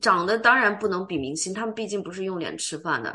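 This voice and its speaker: At a fairly quick pace, a woman speaks in a bright, sharp, animated tone. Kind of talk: casual chat. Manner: animated, frequent laughter.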